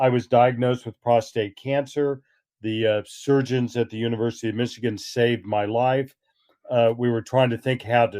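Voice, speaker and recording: Medium in pitch, this man keeps a fairly even intonation and a moderate pace. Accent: American. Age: 60s. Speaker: author and historian. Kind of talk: interview. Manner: halting.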